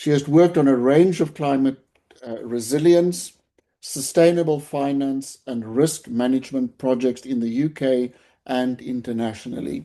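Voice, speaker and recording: A speaker with a South African accent talks at a moderate pace. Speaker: webinar moderator, professor. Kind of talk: webinar moderation, introducing speakers. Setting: online webinar. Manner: formal.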